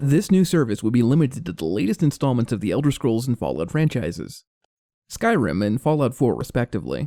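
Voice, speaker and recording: With a dark, mellow tone and some vocal fry, a man talks at a fairly quick pace and a medium pitch, his pitch swinging very widely. The recording is very clean with a silent background and a dry, close sound with no echo. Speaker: gaming commentator. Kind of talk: scripted narration.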